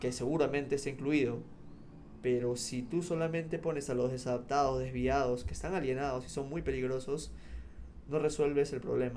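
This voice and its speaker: A man talks at a fairly quick pace with fairly even intonation, and audible room echo surrounds his voice. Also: medium pitch for a man. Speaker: psychologist and academic. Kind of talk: interview.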